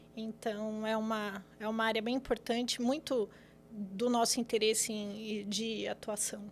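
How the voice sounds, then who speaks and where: Her intonation is monotone and flat as the woman talks at a fairly slow pace. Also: fairly high pitch for a woman. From São Paulo city, Brazil. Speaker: lawyer. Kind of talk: podcast interview. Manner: hesitant, many fillers.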